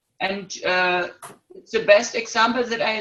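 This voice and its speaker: A woman with a German accent, bright and sharp in tone, fairly high in pitch, ordinary in pitch variation and very slow in pace. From Germany. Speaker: workshop participant. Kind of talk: casual online group chat. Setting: video call. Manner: halting.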